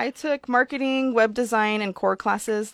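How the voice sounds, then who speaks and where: In a very clean, dry, close recording with a silent background and no echo, a woman with an American accent uses a normal speaking voice at a moderate pace with ordinary pitch variation. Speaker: childcare center owner. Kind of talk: radio interview. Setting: radio studio.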